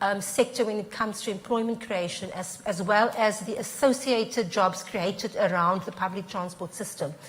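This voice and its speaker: At a moderate pace, a woman with a fairly high pitch talks with ordinary pitch variation against noticeable background noise. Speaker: transport consultant. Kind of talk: panel discussion.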